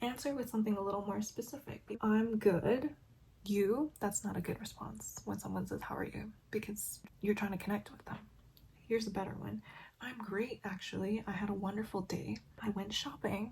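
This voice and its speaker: With vocal fry, a woman talks at a medium pitch. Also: ordinary pitch variation, moderate pace. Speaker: beauty and lifestyle vlogger. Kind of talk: casual chat while doing makeup and reading an article.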